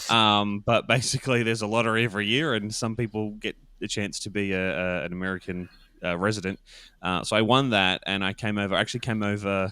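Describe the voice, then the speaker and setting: Talking at a very fast pace, a man has a bright, sharp tone. His pitch is fairly low and his intonation fairly even. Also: very clean recording, silent background. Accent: Australian. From Australia. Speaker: podcast producer. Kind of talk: interview. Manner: many fillers and hesitations.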